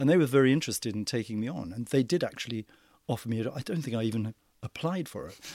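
Intonation is lively, and loudness swings widely. The pace is very fast on a very clean recording with a silent background. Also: man, medium pitch for a man. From New Zealand. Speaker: drama teacher. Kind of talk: interview.

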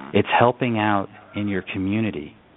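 At a moderate pace, a man with an American accent speaks in an ordinary speaking voice. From upstate New York. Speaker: entrepreneur and inspirational speaker. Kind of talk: radio interview.

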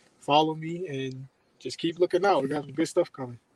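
A man with an unremarkable speaking voice, fairly high pitch and a fairly quick pace, in a dry, close sound with no echo. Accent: American. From Maryland, Columbia (near Baltimore). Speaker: former college quarterback. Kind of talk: interview.

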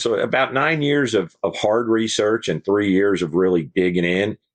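Against a quiet background, a man with an unremarkable speaking voice talks at a moderate pace, fairly low in pitch with ordinary pitch variation. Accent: American. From New York State, Hudson Valley; Texas since 1976. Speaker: fire chief and author. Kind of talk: interview.

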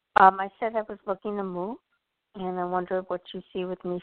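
At a fairly quick pace, a woman with an American accent talks at a medium pitch in monotone, flat intonation. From Illinois. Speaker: caller. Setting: phone call.

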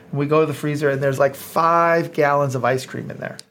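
A man talks in a normal speaking voice at a moderate pace. His pitch varies in an ordinary way. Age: 50s. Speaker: innovation consultant and entrepreneur. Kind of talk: interview.

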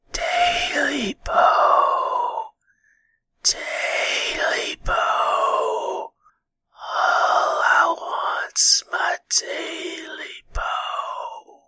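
In a put-on character voice, the speaker talks very slowly with a raspy, extremely high pitch. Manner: creepy, pleading.

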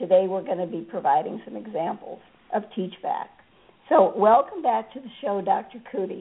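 There is noticeable background noise as this woman speaks at a moderate pace. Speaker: podcast host. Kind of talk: interview.

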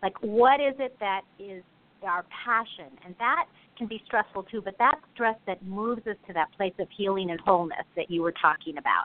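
A woman at medium pitch speaks in a plain, everyday voice at a moderate pace. Her intonation is lively and her loudness swings widely. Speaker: life coach and memoirist. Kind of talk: advice on self-care. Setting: phone call.

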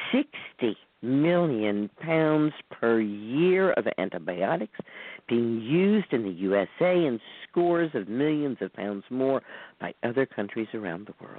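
A woman's very deep, low voice with very wide pitch swings, big swings in loudness and a very slow pace. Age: 70s. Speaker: herbalist teaching herbal medicine. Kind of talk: lecture. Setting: phone or internet call-in radio.

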